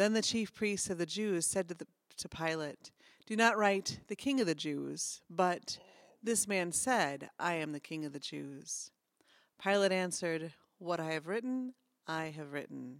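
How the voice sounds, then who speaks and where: In a very clean recording with a silent background, a woman talks at a fairly slow pace. She has a normal speaking voice with fairly low pitch. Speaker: pastor. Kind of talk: scripture reading. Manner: formal; slow, solemn.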